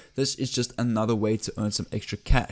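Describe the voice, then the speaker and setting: In a very clean recording with a silent background, a man speaks very fast in an enthusiastic tone. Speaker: online money-making YouTuber. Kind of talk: screen-share tutorial.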